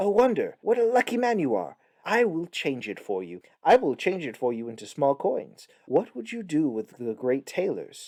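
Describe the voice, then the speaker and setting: A man's shrill, high-pitched put-on character voice at a moderate pace, with very wide pitch swings, big swings in loudness, hardly any pauses and a dry, close sound with no echo. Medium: read story.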